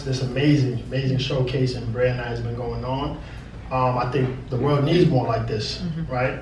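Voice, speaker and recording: A man with an American accent speaks at a medium pitch. Noticeable background noise runs behind him. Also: moderate pace. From Brooklyn, New York. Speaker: spoken word poet. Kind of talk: live stage talk to audience. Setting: live venue. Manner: upbeat, energetic.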